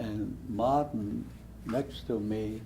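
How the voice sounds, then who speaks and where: The voice is somewhat breathy, with audible room echo around it. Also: man. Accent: German. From Germany (Hesse, rural village). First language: German. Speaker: Holocaust survivor. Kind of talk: testimony.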